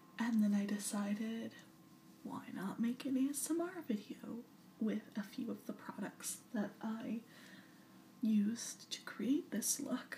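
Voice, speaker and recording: A woman's soft-spoken whisper at a fairly slow pace. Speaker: ASMR video creator. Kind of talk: ASMR whispered talk to camera. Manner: soft-spoken, whispering.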